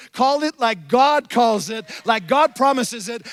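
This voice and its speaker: A man with a French Canadian accent talks at a fairly slow pace, his pitch extremely high and its variation ordinary. Music plays in the background. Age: 50s. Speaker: pastor. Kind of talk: sermon. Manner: animated.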